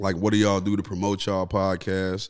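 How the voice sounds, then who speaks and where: A man with an American accent rattles along very fast in a very deep, low voice and a monotone, flat intonation. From US Midwest (Gary, Indiana). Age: 30s. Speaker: aspiring podcaster. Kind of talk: casual chat.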